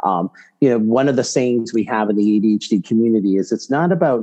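Dark, mellow tone from a man with an American accent, dry and close with no echo. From Boston, Massachusetts. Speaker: psychologist and medical school lecturer. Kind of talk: interview.

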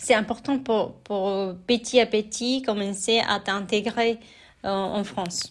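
A woman's medium-pitched voice at a very slow pace, with fairly even intonation, on a very clean recording with a silent background. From Mexico. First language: Spanish (speaking French). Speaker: immigrant sharing her experience. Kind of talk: personal testimony. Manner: hesitant, many fillers; casual, relaxed.

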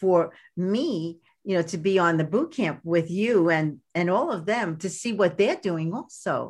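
This woman speaks with a Brooklyn accent at a medium pitch. Her pace is fairly slow and her intonation lively. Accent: Brooklyn New York. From US Northeast, Brooklyn, New York. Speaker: podcast host and life coach. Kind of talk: podcast interview.

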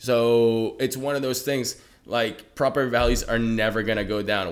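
A male voice is heard here. It stays in the middle of his pitch range. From Venezuela, raised in Georgia (US) from age seven. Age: 20s. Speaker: trucking business owner, entrepreneur. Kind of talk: casual interview. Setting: at home. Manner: animated.

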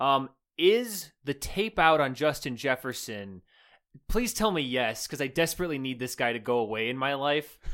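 On a very clean recording with a silent background, a man with a fairly high pitch talks at a moderate pace in an animated tone with lively intonation. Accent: American. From Wisconsin. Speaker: sports podcast co-host. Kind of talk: casual chat.

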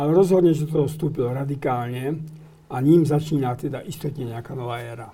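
A man's fairly high, somewhat breathy voice with a dark, mellow tone, fairly even intonation, big swings in loudness and a fairly quick pace amid audible room echo. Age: 70s. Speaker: guest commentator on church affairs. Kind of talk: interview. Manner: halting.

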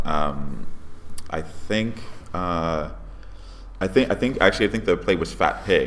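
Amid noticeable background noise, a man with an American accent speaks at a fairly slow pace. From Connecticut, Bridgeport. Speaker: stage actor. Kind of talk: interview. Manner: halting, many repetitions and fillers.

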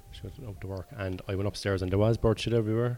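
Low-pitched for a man, this voice has a dark, mellow tone and a Cork accent. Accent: Cork Irish. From Ireland. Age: 40s. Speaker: stand-up comedian. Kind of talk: casual chat. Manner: laconic.

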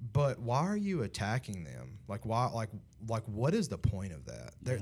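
Somewhat breathy, a man talks at medium pitch and a fairly quick pace. The recording is very clean, with a silent background. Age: 30s. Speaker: young adult ministry podcast host. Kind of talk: casual chat. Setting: studio.

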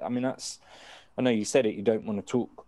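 This man speaks in a British accent with a dark, mellow tone and a fairly low pitch. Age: 40s. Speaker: podcast co-host. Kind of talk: casual interview chat. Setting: video call.

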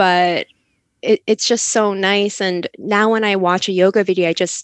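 Heard in a dry, close sound with no echo, a woman speaks at medium pitch. She has an unremarkable speaking voice and a moderate pace. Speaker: podcast co-host, grad student. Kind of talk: casual interview chat.

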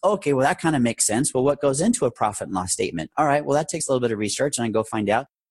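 A man talks at a very fast pace with hardly any pauses and lively intonation. His pitch is medium, and the background is quiet. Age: 40s. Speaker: air ambulance company founder, former paramedic. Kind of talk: interview, personal business story.

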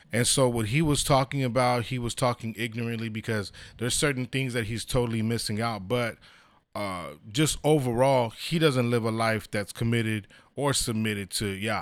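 Recorded very cleanly against a silent background, a man with an unremarkable speaking voice talks at a moderate pace and medium pitch with ordinary pitch variation. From San Diego, California. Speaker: church minister. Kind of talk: casual chat.

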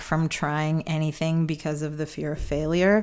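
This woman has a plain, everyday voice, pitched fairly low and paced fairly slowly. The recording is very clean, with a silent background. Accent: American. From US Midwest, Chicago. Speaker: comedian. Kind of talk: casual interview. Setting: home, at a kitchen table.

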